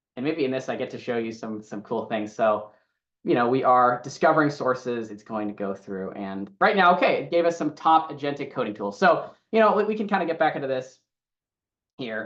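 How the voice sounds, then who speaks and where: A man at a medium pitch, fairly quick and with lively intonation. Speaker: AI class instructor. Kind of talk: online class tutorial. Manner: fast; casual, filler-heavy.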